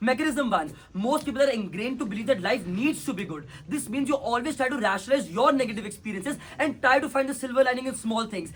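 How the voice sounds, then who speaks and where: Loud and very fast, the speech has ordinary pitch variation. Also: man, extremely high pitch for a man. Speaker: competitive debater. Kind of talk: competitive debate speech; casual chat.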